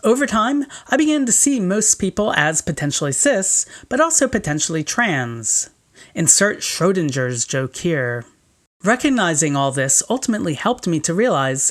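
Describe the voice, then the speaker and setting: Her pitch swings very widely. This woman has a fairly low pitch. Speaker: video essayist. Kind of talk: scripted narration. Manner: formal.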